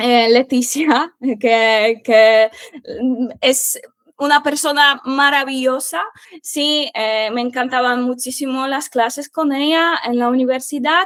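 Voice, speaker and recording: Her pitch is high for a woman, and her intonation stays fairly even. She speaks at a very slow pace. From Poland. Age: 20s. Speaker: Spanish teacher. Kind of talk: interview. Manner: halting, many fillers.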